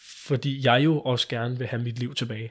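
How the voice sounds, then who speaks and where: A man's voice sounds somewhat breathy. He talks fairly slowly. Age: 20s. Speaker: liver transplant recipient. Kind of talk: interview.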